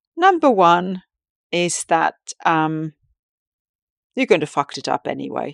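A woman with a Finnish accent speaks at a moderate pace against a quiet background, her sound dry and close with no echo. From Finland. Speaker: tantric sex and relationship coach, podcast host. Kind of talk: solo podcast monologue, casual and personal. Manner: halting, with many fillers and restarts.

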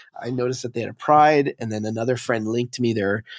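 An ordinary speaking voice with a Canadian accent, in a dry, close sound with no echo. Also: man, very clean recording, silent background. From Montreal, Quebec. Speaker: DJ and music producer. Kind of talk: casual interview chat.

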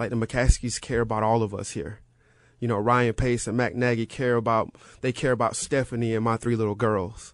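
Over a quiet background, a man with an American accent and medium pitch talks at a fairly quick pace. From US South, rural Florida. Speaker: football personnel director, former player. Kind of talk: radio interview. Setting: studio. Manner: emotional, enthusiastic.

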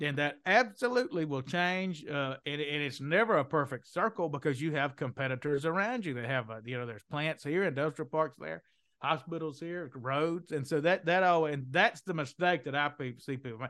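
A man with a Southern US accent talks at a moderate pace and a fairly high pitch, with ordinary pitch variation. His tone is bright and sharp against a quiet background. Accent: Southern, drops the g's. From Mississippi, US South. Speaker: economic development consultant, company co-founder. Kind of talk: casual interview.

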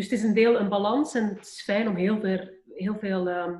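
A woman talks at a medium pitch with fairly even intonation. Hers is an unremarkable speaking voice. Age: 40s. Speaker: podcast guest. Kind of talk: reflective interview.

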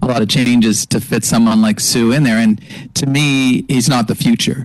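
Noticeable background noise sits behind a man's voice. His medium pitch carries lively intonation. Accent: Canadian. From Canada, Montreal. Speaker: football fan panelist. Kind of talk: casual sports talk.

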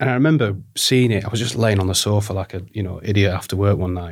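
In a very clean recording with a silent background, a man talks with a northern English accent. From northern England, Barnsley, South Yorkshire. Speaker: creative director and design studio founder. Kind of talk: casual chat.

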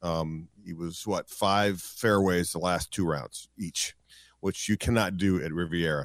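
A man talks in a very deep, low voice with ordinary pitch variation. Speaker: sports play-by-play announcer. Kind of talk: casual chat.

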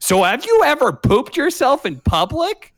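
Using a put-on character voice, a man speaks at a moderate pace with very wide pitch swings. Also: extremely high pitch for a man.

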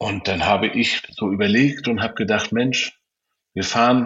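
A man talks at a moderate pace in a normal speaking voice. His intonation is fairly even. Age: 50s. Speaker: YouTuber and car dealer, rally co-founder. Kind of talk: interview.

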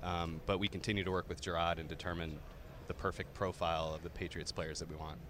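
With a very deep, low pitch and monotone, flat intonation, a man talks at a fairly quick pace. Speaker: football scouting executive. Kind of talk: interview. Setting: on location at an event.

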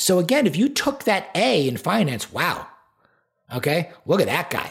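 A man is speaking. He has a New York accent. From Long Island, New York. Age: 40s. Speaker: performance coach. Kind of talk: casual interview.

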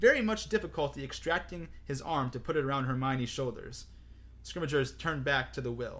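Ordinary pitch movement in a natural reading voice.

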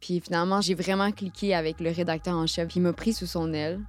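Speaking at a fairly quick pace, a woman keeps her fairly low voice in fairly even intonation. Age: 20s. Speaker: journalist. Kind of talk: interview testimony.

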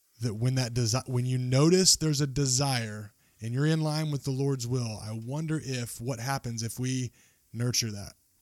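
Speaking at a moderate pace with fairly even intonation, a man is heard on a very clean recording with a silent background. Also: medium pitch for a man. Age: 30s. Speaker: podcast host. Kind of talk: casual chat.

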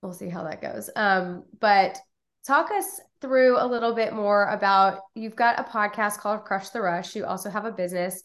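A woman has an ordinary speaking voice at a medium pitch. The background is quiet. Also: ordinary pitch variation, moderate pace. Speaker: podcast host. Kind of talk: casual interview.

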